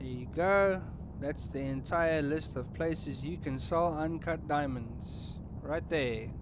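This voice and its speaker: A man with a South African accent at a very slow pace, in audible room echo. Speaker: gaming streamer. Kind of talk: gameplay tutorial. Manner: casual, conversational.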